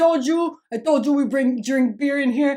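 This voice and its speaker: The woman's voice is high-pitched, with an animated tone. Her pitch varies in an ordinary way. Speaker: online spiritual content creator. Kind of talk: casual vlog monologue. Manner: animated, repetitive emphatic.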